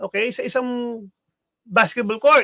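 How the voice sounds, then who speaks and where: In an extremely high pitch, a man uses a raised, projected voice with a bright, sharp tone at a fairly slow pace. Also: dry, close sound with no echo. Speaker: sports analyst. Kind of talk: radio talk show discussion. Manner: halting, many fillers.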